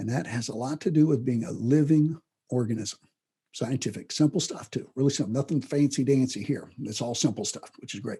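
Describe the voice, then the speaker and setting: The voice is somewhat breathy with a dark, mellow tone. It moves at a fairly quick pace with ordinary pitch variation. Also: man, medium pitch for a man. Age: 60s. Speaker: self-improvement teacher. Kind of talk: lecture. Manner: halting, frequent restarts; casual, conversational.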